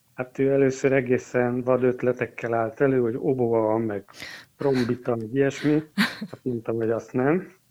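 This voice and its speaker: A man's normal speaking voice, a normal speaking voice at medium pitch, moderate in pace with fairly even intonation. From eastern Hungary. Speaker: organist and music teacher. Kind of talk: interview.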